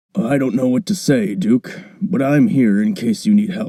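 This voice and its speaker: Putting on a character voice, a man speaks raspily at a moderate pace in a fairly high pitch with very wide pitch swings. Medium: audio drama.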